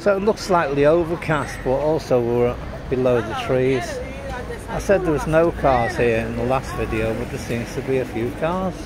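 A man at a moderate pace with ordinary pitch variation, dry sound with no echo, and crowd noise in the background. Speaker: tourist vlogger. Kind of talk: casual travel commentary. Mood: relaxed, lightly amused. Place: street. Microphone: phone near.

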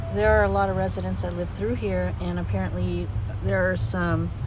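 The pace is fairly quick, over noticeable background noise. The sound is dry, with no echo. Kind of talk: casual vlog chat. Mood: relaxed, pleasant. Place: car. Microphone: phone near.

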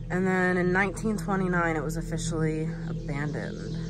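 The speech comes at a fairly slow pace with music in the background. The sound is dry, with no echo. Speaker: vlogger filming. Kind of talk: casual vlog chat. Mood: nervous, slightly scared. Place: forest. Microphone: phone near.

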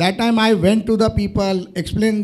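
A man with an Indian accent speaks at a fairly quick pace. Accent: Indian (Marathi) English. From Mumbai, India. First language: Marathi. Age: young. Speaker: businessman and politician. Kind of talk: interview before live audience. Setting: stage with audience. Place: stage. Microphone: handheld.

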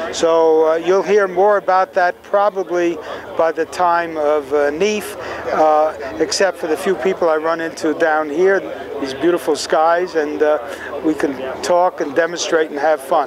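In a New York accent, a man with a high pitch talks fairly slowly with fairly even intonation, the sound dry with no echo but noticeable background noise. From New York City (Bronx). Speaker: telescope designer. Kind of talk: interview. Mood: warm, good-humored. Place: open country.

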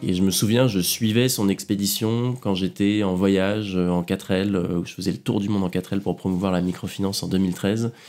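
Barely pausing, a man with a fairly low pitch keeps a moderate pace and fairly even intonation. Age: 20s. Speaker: polar adventurer. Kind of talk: interview, casual. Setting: at home. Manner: hesitant, many fillers.

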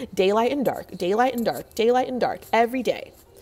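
In a put-on character voice, a woman talks fairly quickly in a squeaky, fairly high pitch. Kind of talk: storytelling. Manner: agitated, loud.

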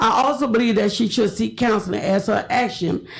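A woman's fairly high, somewhat breathy voice with an American accent, fairly quick in pace and fairly even in intonation. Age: 70s. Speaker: public commenter, educator. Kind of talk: public comment at city meeting. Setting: city commission chambers. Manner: formal.

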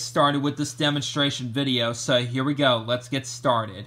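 A bright, sharp tone comes from the man as he talks. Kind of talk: casual demonstration narration. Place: home room. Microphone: phone near.

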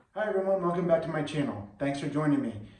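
With ordinary pitch variation, a man speaks in a space with audible room echo. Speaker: home cleaning vlogger. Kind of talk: casual vlog chat. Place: bathroom. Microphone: phone near.

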